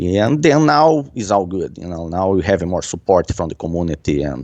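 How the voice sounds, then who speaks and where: This voice has a dark, mellow tone and lively intonation, moving at a fairly slow pace in a Brazilian accent. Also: man. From Brazil, Curitiba. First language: Portuguese. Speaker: martial arts coach and gym owner. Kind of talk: interview.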